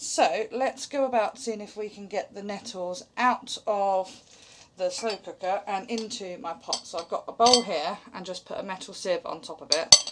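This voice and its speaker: Her British accent carries a bright, sharp tone at a medium pitch. This woman keeps a moderate pace, with big swings in loudness. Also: ordinary pitch variation. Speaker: homesteading vlogger. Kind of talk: tutorial. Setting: home kitchen. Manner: casual and chatty.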